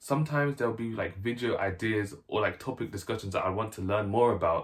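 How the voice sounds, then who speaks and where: Somewhat breathy, a man talks at a fairly quick pace at a medium pitch, with ordinary pitch variation. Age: 20s. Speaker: YouTuber. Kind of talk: casual vlog talk to camera. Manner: casual, filler-heavy.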